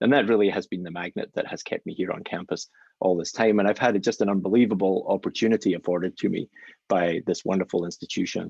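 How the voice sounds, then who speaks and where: A man's fairly low voice in a Scottish accent, very fast and fairly even in intonation, with a dry, close sound and no echo. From Scotland, Glasgow. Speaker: physician scientist. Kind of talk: lecture. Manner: hesitant fillers.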